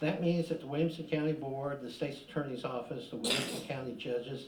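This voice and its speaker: Audible room echo surrounds a man with a fairly high pitch and ordinary pitch variation. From southern Illinois. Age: 60s. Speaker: public commenter at council meeting. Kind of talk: public comment speech. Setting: city council meeting. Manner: hurried.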